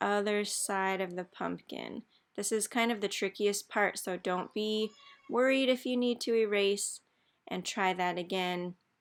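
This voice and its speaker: Speaking at a fairly slow pace, a woman with an unremarkable speaking voice has medium pitch and ordinary pitch variation, on a very clean recording with a silent background. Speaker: art teacher. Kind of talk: tutorial.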